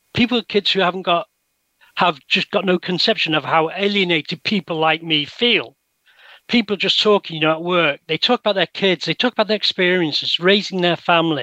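A man speaks with an English accent in a high, bright, sharp voice at a moderate pace. The sound is dry and close with no echo, and his pitch varies in an ordinary way. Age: 60s. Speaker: researcher. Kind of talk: interview.

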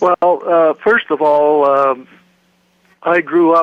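This voice has an Ontario accent and ordinary pitch variation. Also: man. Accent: Canadian (Ontario). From Canada, Toronto. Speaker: author and historian. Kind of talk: interview.

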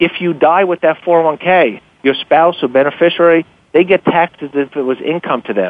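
This man has a fairly high pitch and a normal speaking voice. His pitch varies in an ordinary way. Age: 50s. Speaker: author and investment newsletter publisher. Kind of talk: radio interview.

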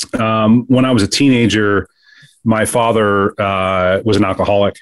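Over a quiet background, a man talks at a fairly low pitch. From US Midwest, Kansas City. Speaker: business executive and former Marine officer. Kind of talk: interview conversation.

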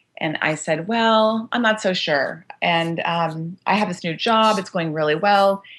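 Against a quiet background, a woman with a Californian accent speaks at medium pitch. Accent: Californian American. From US West Coast, Los Angeles. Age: 50s. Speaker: business executive and author. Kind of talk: interview.

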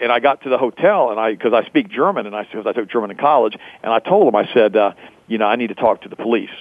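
A fast pace, ordinary pitch variation and a dry, close sound with no echo. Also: man, fairly low pitch for a man.

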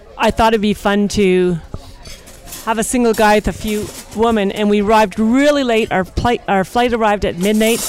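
Noticeable background noise sits behind a woman whose pitch is fairly high. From Montreal, Quebec. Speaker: swinger guest. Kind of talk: casual chat. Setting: cruise ship dining room. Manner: animated.

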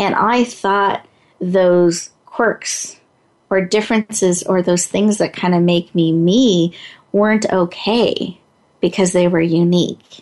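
Her fairly low pitch and slightly mellow tone come through as the woman speaks slowly with fairly even intonation.

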